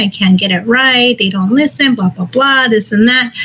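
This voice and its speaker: Over noticeable background noise, a woman speaks in an upbeat tone at a fairly quick pace, with a fairly high pitch and ordinary pitch variation. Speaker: host, city code enforcement employee. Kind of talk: casual interview. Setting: live online video stream. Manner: upbeat, friendly.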